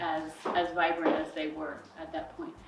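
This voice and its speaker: A woman with an American accent and lively intonation, with audible room echo and noticeable background noise. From Colorado, US. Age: 60s. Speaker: climate action speaker. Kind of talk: public talk.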